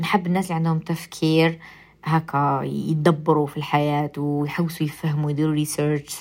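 A speaker with an Algerian accent talks in a flat monotone. The recording is very clean, with total silence behind the voice. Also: woman. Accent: Algerian Arabic with English code-switching. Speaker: radio and podcast host. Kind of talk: casual monologue.

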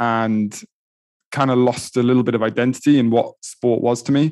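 In a Welsh accent, a man speaks at a medium pitch with fairly even intonation over a quiet background. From Wales, Pembrokeshire. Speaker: endurance coach and triathlete. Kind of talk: casual interview.

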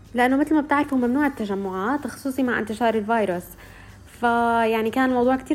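Music plays in the background as a woman speaks. Her pitch is fairly high and varies in an ordinary way. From Syria. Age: 20s. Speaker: recent journalism graduate and social media creator. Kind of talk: interview testimony.

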